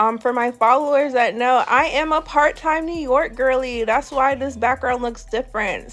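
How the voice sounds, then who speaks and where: Over noticeable background noise, a woman speaks fairly slowly with a high pitch and ordinary pitch variation. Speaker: hair braider. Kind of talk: tutorial voiceover. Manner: casual, chatty.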